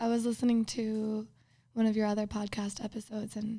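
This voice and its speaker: A somewhat breathy woman with a dark, mellow tone talks at a fairly quick pace on a very clean recording with a silent background. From Minnesota, US Midwest. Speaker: podcast guest. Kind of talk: casual chat.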